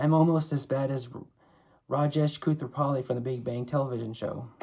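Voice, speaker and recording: A man's somewhat breathy, dark, mellow voice at a medium pitch, fairly quick in pace, with fairly even intonation. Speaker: author reading his own book. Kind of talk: reading aloud. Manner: halting.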